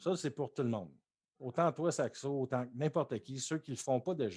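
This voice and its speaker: A man talks at a fairly slow pace. He has a Quebec accent. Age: 30s. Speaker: Twitch streamer. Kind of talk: casual chat. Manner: animated.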